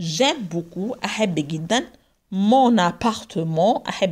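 A woman speaks at a very slow pace with very wide pitch swings against a quiet background. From Egypt. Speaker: French language teacher; French teacher. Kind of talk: lecture. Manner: mixes Arabic and French, translating phrase by phrase. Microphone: phone near.

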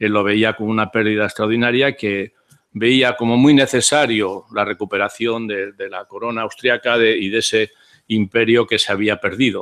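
At a moderate pace, the voice stays monotone and flat against a quiet background. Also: man. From Spain. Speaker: philosopher's disciple; speaker. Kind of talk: conference talk. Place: hall. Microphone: podium.

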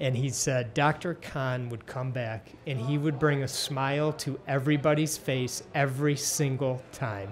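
A man with an American accent speaks at a fairly slow pace, his voice somewhat breathy over light background noise. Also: medium pitch for a man, fairly even intonation. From Detroit area, Michigan; Michigan. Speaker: podcast host. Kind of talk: interview. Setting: restaurant. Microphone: studio mic.

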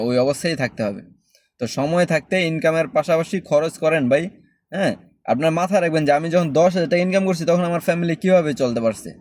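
Recorded very cleanly against a silent background, a man with an ordinary speaking voice talks at a fairly high pitch with ordinary pitch variation. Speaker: expat vlogger. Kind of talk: casual advice monologue.

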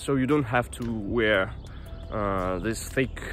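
The recording of a man sounds dry with no echo, with light background noise. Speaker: vlogger. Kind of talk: casual vlog chat. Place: forest. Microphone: earbuds.

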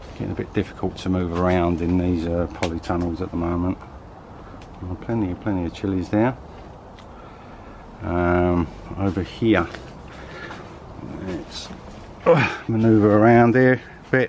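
Over light background noise, a man with a very deep, low voice speaks at a moderate pace with ordinary pitch variation and long, frequent pauses. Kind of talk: casual vlog walkthrough. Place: garden. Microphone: phone near.

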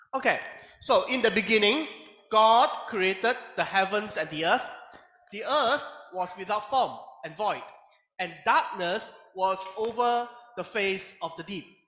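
Over music in the background, a man uses a raised, projected voice at a fairly slow pace with ordinary pitch variation. Long, frequent pauses and audible room echo are present. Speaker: Bible class teacher. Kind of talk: lecture. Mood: light, laughs occasionally. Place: classroom.

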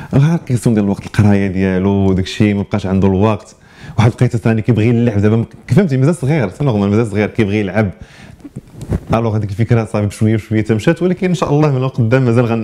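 Speaking very fast with a Moroccan accent, the man has a fairly low pitch and ordinary pitch variation, with light background noise behind him. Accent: Moroccan Arabic (Darija) with French words. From Morocco. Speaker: chef and restaurant manager; interviewee. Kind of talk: interview. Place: studio.

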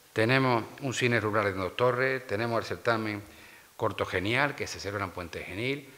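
Speaking with fairly even intonation, a man has a bright, sharp tone. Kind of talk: press conference statement. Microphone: podium.

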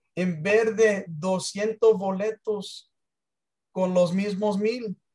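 A man with an English accent speaks at a high pitch with fairly even intonation over a quiet background. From United States. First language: English (speaking Spanish). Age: 60s. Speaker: business presenter; presenter. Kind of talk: sales pitch. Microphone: video call.

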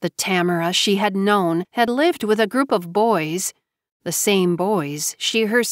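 An unforced reading voice with ordinary pitch variation sounds over a quiet background.

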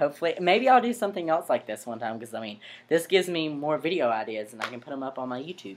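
Speaking with very wide pitch swings, a man delivers the lines. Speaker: vlogger. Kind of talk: casual vlog chat. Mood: earnest, slightly defensive. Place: home room. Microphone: webcam.

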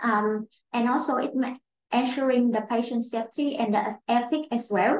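Speaking at a fairly slow pace with a Vietnamese accent, a woman uses a high pitch amid audible room echo. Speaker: clinical trial operations manager; webinar panelist. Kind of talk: webinar presentation. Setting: online webinar. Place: office. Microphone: webcam.

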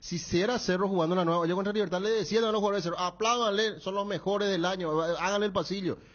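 With a Paraguayan accent, a man speaks very fast at a high pitch and with fairly even intonation against a quiet background. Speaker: sports radio host. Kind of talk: casual sports talk. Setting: radio studio. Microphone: studio mic.

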